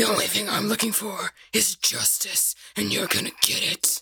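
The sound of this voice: This is a put-on character voice, gravelly and raspy. It moves at a moderate pace.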